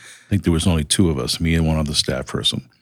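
A man with a Boston accent speaks at a very deep, low pitch with fairly even intonation. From Boston, US. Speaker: nonprofit CEO. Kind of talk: interview conversation.

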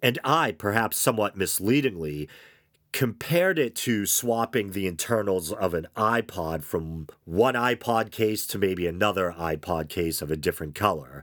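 Croaky male voice at a moderate pace in a very clean recording with a silent background. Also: fairly low pitch for a man, lively intonation. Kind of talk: casual podcast monologue. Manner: casual, hesitant with fillers.

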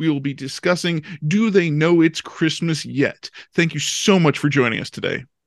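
A man with a plain, everyday voice and an American accent speaks at a moderate pace, his pitch fairly high with ordinary pitch variation. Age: middle-aged. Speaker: podcast host. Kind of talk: interview.

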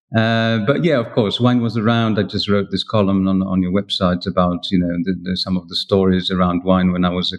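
A man with a Polish accent speaks at a fairly quick pace in a very deep, low pitch, his intonation fairly even. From Poland. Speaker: wine writer. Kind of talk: interview. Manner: halting.

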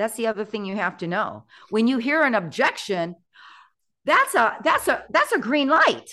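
Against a quiet background, a woman with a bright, sharp tone speaks at a moderate pace, her fairly high pitch making very wide swings. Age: 60s. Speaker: real estate agent and mentor. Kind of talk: casual chat.

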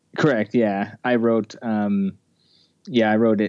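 A man's plain, everyday voice, fairly low in pitch, at a moderate pace over a quiet background. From Utah (Ogden). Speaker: film director and actor. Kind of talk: casual interview.

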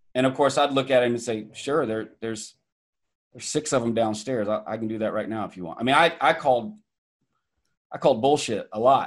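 At a very fast pace, a man with an American accent and medium pitch speaks with ordinary pitch variation and big swings in loudness on a very clean recording with a silent background. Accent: Southern twang with a bit of Midwestern. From US South, Atlanta, Georgia. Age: 40s. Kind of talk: interview, personal story. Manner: halting, many repetitions.

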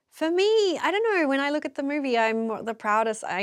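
A woman with an Australian accent, lively intonation and a fairly quick pace. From Australia, Melbourne. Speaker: film director. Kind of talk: interview.

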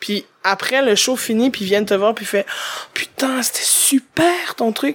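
A woman in a Quebec accent, fairly high-pitched, with lively intonation and a fairly slow pace. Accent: Québécois. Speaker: stand-up comedian. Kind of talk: casual chat.

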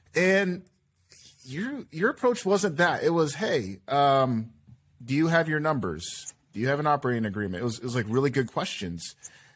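Here a man speaks with an American accent at a fairly high pitch. His pitch swings very widely. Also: moderate pace. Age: 30s. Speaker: podcast host. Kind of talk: casual chat.

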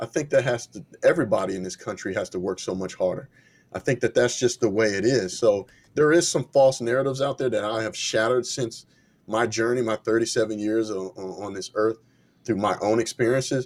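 With ordinary pitch variation, an unremarkable speaking voice goes at a fairly quick pace. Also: man, medium pitch for a man. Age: 30s. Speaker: conservative activist and entrepreneur. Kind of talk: interview.

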